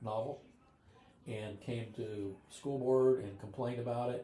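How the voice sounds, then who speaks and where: A medium-pitched man's voice with a Midwestern American accent and audible room echo. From US Midwest, northwest Ohio (Van Wert County). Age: 70s. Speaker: podcast host. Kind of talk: casual chat, film discussion over dinner. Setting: around a dinner table at home.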